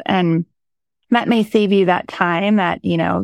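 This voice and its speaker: With a plain, everyday voice, a woman speaks in an American accent at a fairly low pitch and a moderate pace, her intonation fairly even, in a dry, close sound with no echo and a quiet background. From rural Oklahoma. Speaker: city economic development executive. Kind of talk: interview conversation.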